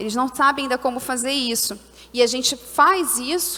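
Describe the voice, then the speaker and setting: A woman's raised, projected voice in a Carioca accent, high-pitched with ordinary pitch variation, over noticeable background noise. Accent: carioca, hissing s. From Brazil, Rio de Janeiro. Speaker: social entrepreneur, panelist. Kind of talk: conference panel talk.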